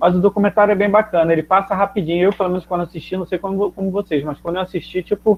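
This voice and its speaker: Very fast and with hardly any pauses, a man speaks at a high pitch in a flat monotone. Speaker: geography teacher. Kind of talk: online class. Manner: casual, halting with fillers.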